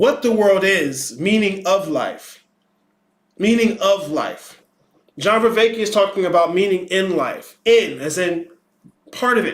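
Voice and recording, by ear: A man with a high voice and lively intonation, at a slow pace.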